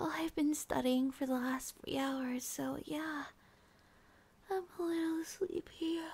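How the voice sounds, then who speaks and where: This speaker is soft-spoken. The delivery comes at a very slow pace. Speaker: roleplay voice actor as girlfriend. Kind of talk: ASMR roleplay monologue. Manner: soft, drowsy roleplay voice.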